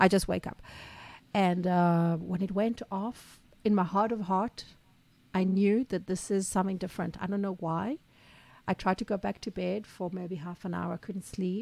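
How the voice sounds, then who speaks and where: A woman with an Israeli accent speaks at a moderate pace, at a medium pitch and with fairly even intonation. The recording is very clean with a silent background and a dry, close sound with no echo. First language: Hebrew. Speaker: small business owner, podcast co-host. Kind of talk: casual chat.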